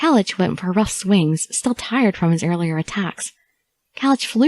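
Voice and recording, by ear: With lively intonation, a natural voice reads aloud while the background stays quiet.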